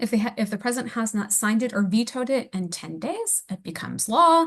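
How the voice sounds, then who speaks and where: Speaking at a fairly quick pace, a woman uses a fairly high, somewhat breathy voice with lively intonation. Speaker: policy manager presenting a webinar. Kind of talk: webinar presentation. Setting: online webinar. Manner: fast.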